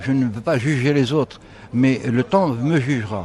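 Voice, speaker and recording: A man's voice over noticeable background noise. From Algeria. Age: 70s. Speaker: photographer. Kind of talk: radio interview. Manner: halting.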